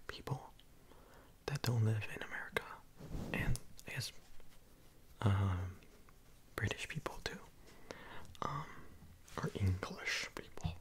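Someone whispers at a fairly slow pace, leaving long, frequent pauses. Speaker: ASMR creator. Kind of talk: ASMR whisper and soft-spoken talk to camera. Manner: whispered, soft-spoken. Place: home room. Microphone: studio mic.

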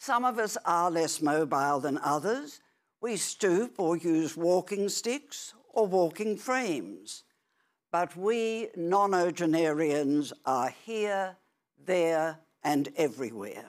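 Against a quiet background, a woman speaks very slowly in a fairly low voice with very wide pitch swings. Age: 80s+. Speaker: author; speaker. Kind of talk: prepared speech. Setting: stage with audience. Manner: formal. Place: stage. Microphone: lapel.

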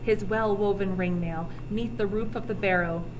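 Noticeable noise sits behind the voice. Its intonation rises and falls in a lively way. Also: woman. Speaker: teacher reading aloud. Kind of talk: reading aloud archaic epic poetry, audiobook-style with teacher asides. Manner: measured, formal, slightly halting with self-corrections on archaic words; explanatory, casual in asides. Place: classroom. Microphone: webcam.

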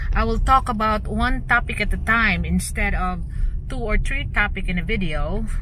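A woman at a fairly slow pace, in a dry sound with no echo, over noticeable background noise. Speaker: driver vlogger. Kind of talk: casual vlog chat. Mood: mildly frustrated. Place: car. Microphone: camera far.

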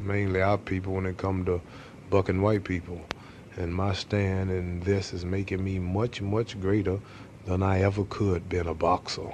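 Light background noise sits behind a man speaking in a very deep, low voice. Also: moderate pace. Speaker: interviewee. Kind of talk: interview answer. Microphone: old recording.

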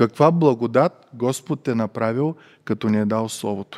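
A man at a moderate pace, fairly even intonation, quiet background. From Bulgaria. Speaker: preacher. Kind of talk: sermon. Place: church. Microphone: headset.

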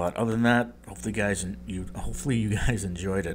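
Putting on a character voice, a man talks at a moderate pace in a raspy, very deep and low register.

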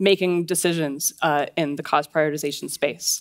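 In a quiet background, a woman speaks at a moderate pace. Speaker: conference speaker. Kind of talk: lecture. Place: stage. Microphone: headset.

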